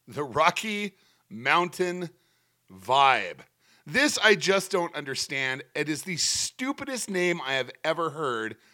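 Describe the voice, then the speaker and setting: A man's high, bright, sharp voice in an American accent, with very wide pitch swings, over a very clean, silent background. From Colorado Springs, Colorado. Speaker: sports podcast host. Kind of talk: solo sports commentary. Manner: casual, conversational.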